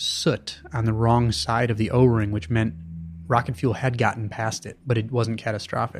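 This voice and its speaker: A man speaks in a normal speaking voice at a medium pitch. His delivery is fairly slow, with fairly even intonation. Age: 30s. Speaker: author and science journalist. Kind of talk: long-form interview.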